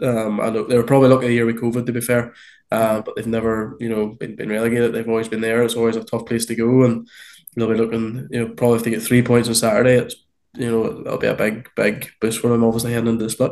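Monotone and flat, a man with a medium pitch talks at a very fast pace. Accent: Northern Irish. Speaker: podcast co-host. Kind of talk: casual chat.

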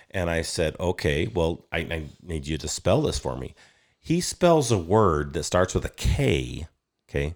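Very deep and low, this man's voice carries vocal fry and lively intonation at a fairly slow pace. The recording is very clean, with a silent background. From Wyoming, US. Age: 50s. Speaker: property developer. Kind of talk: casual chat.

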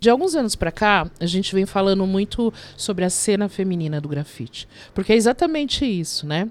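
A woman with a plain, everyday voice speaks at a medium pitch and a fairly quick pace. Her intonation is lively, and the recording is very clean with a silent background. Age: 50s. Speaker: graffiti artist. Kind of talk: interview.

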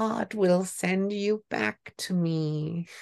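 A man's put-on character voice, high in pitch, with fairly even intonation and a dry, close sound with no echo. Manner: eerie, unsettling.

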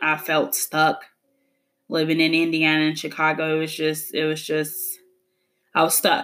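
With music playing in the background, the speaker moves at a moderate pace in a monotone, flat delivery broken by long, frequent pauses. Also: woman, very deep, low pitch for a woman. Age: 20s. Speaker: podcast host, women's empowerment entrepreneur. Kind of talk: motivational monologue.

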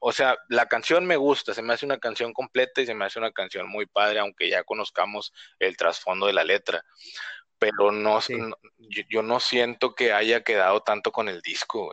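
The recording of a man speaking at a moderate pace is dry and close with no echo, over a quiet background. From northern Mexico, Reynosa, Tamaulipas. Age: 30s. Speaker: podcast guest, fan. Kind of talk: casual chat.

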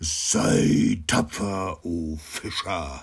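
Using a put-on character voice, a man growls and booms at a very deep, low pitch. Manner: menacing, commanding.

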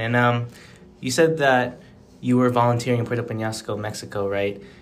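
The speaker has an ordinary speaking voice, with fairly even intonation at a moderate pace. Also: man. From Phoenix, Arizona. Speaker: student podcast co-host. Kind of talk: podcast interview. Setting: call.

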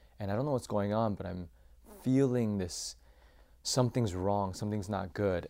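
A man with an American accent speaks at a moderate pace, his pitch fairly low and his tone dark and mellow. His intonation is fairly even, and the recording is very clean with a silent background. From US Midwest (Champaign, Illinois). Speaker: former youth pastor sharing mental health story. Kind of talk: personal testimony in interview.

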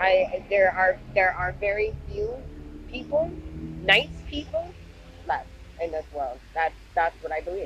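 Over noticeable background noise, a woman speaks at a fairly slow pace with long, frequent pauses. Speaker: podcast co-host. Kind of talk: casual chat.

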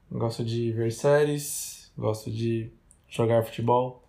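Medium in pitch, this man's voice has a dark, mellow tone and ordinary pitch variation. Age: 20s. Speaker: podcast co-host. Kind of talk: casual chat.

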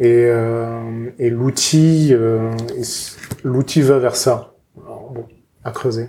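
A man speaks at a medium pitch, very slowly and in a flat monotone, with long, frequent pauses. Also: big swings in loudness. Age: 30s. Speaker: podcast host. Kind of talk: interview.

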